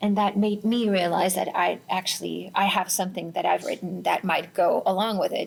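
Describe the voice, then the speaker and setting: At a moderate pace and with hardly any pauses, a woman speaks with a Finnish accent. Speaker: singer-songwriter and musician. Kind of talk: interview.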